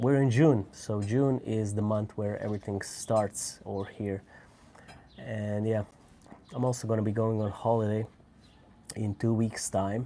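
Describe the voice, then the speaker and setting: Speaking with a Croatian accent, a man talks at a fairly slow pace with long, frequent pauses. His voice has a dark, mellow tone, a fairly low pitch and fairly even intonation. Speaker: cigar reviewer. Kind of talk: casual live stream chat. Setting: at home.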